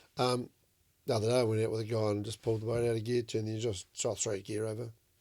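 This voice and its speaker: In a New Zealand accent, a dark, mellow voice runs at a very fast pace with monotone, flat intonation. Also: man, medium pitch for a man. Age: 60s. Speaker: commercial fishing skipper. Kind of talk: casual chat.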